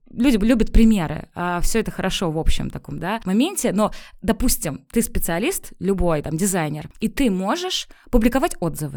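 Lively in intonation, a woman speaks at a moderate pace in an unremarkable speaking voice, recorded very cleanly with a silent background. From Pskov region, Russia. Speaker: personal branding consultant. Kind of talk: interview. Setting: studio.

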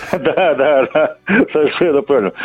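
Here a man speaks with ordinary pitch variation. Background noise is noticeable. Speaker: caller. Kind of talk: casual chat. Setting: phone call.

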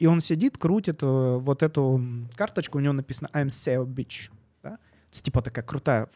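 With a dark, mellow tone and fairly high pitch, a man speaks in a dry, close sound with no echo. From southern Russia, Yeysk. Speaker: venture capital investor. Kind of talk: casual interview. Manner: hesitant, many fillers.

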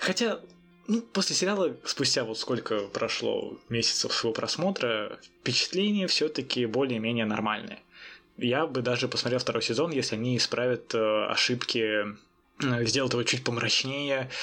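The tone is bright and sharp, with lively intonation. Loudness stays very even at a moderate pace. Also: man, medium pitch for a man. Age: young. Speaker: film podcast co-host. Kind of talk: casual chat.

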